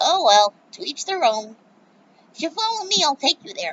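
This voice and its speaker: In a put-on character voice, a woman uses a squeaky, extremely high, raised and projected voice with very wide pitch swings at a moderate pace. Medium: read story.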